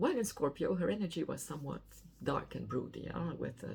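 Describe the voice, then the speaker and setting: A woman is speaking. She has a non-native accent. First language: not English. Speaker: astrologer. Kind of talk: weekly astrology forecast monologue.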